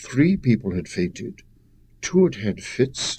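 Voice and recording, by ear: The speaker reads a text aloud. The voice sounds natural.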